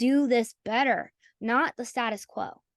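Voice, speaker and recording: Speaking in an American accent, a woman sounds animated and high-pitched. Her voice comes through dry and close, with no echo. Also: quiet background. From US South. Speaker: AI conference founder. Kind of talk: interview conversation. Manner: halting.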